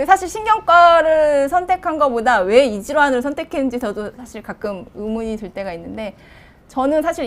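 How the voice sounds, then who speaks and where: A woman's voice with very wide pitch swings. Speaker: neurologist. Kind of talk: live Q&A explaining medical topics. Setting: live broadcast. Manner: fast.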